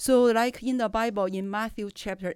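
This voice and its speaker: The speech comes in a Chinese accent at a fairly slow pace. The recording is very clean, with a silent background. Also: woman. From China. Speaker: professor and journal editor. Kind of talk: casual interview chat.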